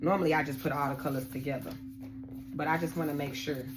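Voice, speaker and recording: With an animated tone, a woman with a very deep, low pitch speaks at a very fast pace and ordinary pitch variation. Audible room echo and noticeable background noise fill the recording. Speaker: tarot card reader. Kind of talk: tarot reading.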